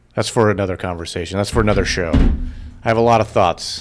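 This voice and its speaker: A man with a fairly low pitch, music in the background. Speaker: podcast co-host and producer. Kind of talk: casual chat. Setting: podcast studio.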